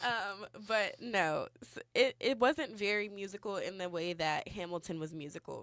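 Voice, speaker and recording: A woman speaks with a Californian accent in a very clean recording with a silent background. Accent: Californian American English. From Los Angeles, California. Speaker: student activist radio co-host. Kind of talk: casual chat on live radio. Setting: radio studio.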